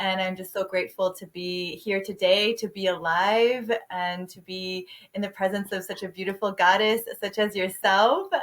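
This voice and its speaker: Medium-pitched woman's voice, monotone and flat, at a moderate pace with big swings in loudness. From Quebec, Montreal. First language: French. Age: 40s. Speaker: health and detox coach. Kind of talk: interview testimony. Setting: podcast interview.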